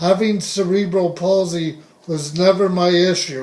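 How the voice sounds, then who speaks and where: Speaking at a very slow pace, a man holds a high pitch in a monotone, flat intonation. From US West (Southern California). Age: 60s. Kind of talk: personal testimony monologue.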